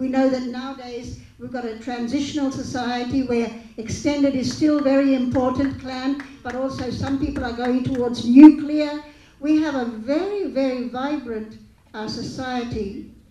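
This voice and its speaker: With audible room echo and light background noise, a woman speaks at a moderate pace in a high pitch with fairly even intonation. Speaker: speaker. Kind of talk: panel discussion remarks. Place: hall. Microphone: handheld.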